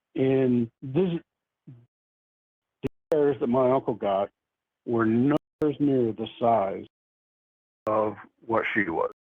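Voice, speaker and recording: With an American accent, a man is talking. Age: 60s. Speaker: eyewitness. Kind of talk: interview.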